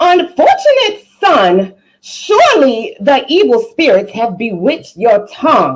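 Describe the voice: A woman's put-on character voice, slow and fairly high-pitched, with a slightly husky edge and very wide pitch swings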